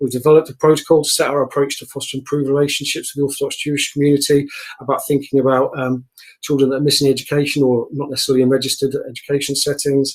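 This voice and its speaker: The man's voice is fairly high in pitch and monotone, with flat intonation. He speaks at a very fast pace. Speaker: council officer. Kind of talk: committee presentation.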